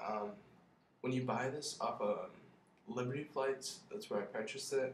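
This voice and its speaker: A man mumbles against noticeable background noise. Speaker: college student. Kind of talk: casual product review to camera. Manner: mumbling.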